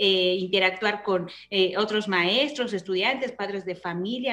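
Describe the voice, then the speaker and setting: A woman at a fairly slow pace. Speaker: guest. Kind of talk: interview answer. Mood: warm, reflective.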